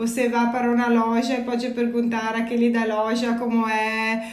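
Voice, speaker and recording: A woman with an Italian accent speaks at a fairly slow pace in a fairly high pitch, her intonation flat and monotone, with audible echo in the room. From Italy. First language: Italian (speaking Portuguese). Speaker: energy company employee. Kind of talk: casual chat. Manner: halting.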